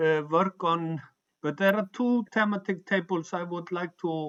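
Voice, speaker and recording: A non-native accent at a fairly slow pace with ordinary pitch variation. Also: man, dry, close sound with no echo. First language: not English. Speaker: humanist organization member. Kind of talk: online meeting discussion. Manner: halting.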